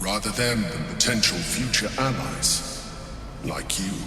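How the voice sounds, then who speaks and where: Loud background noise and a clear echo surround a man doing a put-on character voice. He speaks fairly slowly at a fairly low pitch. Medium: machinima. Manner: measured, calm, calculating.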